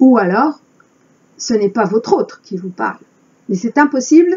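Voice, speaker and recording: Pitched high, a woman's voice makes very wide pitch swings at a fairly slow pace, broken by long, frequent pauses. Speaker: spiritual channeler. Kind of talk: spiritual monologue.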